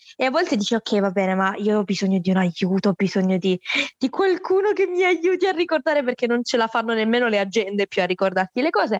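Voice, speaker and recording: Very wide pitch swings and an animated tone mark this very fast delivery, which holds very even loudness in a dry, close sound with no echo. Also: woman, fairly high pitch for a woman. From Salento, southern Italy. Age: 20s. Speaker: student and interviewer. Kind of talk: casual interview chat. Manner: animated, outgoing.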